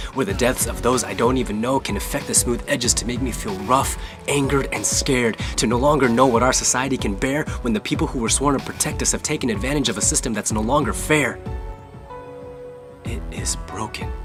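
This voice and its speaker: A man with an American accent at a fairly quick pace, with music in the background. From United States. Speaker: spoken word poet. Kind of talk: spoken word poetry performance.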